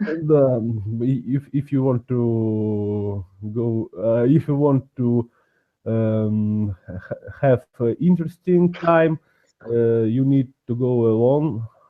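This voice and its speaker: A man's medium-pitched voice with a Russian accent, ordinary pitch variation and a very slow pace. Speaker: language learner. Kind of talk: casual chat. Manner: halting.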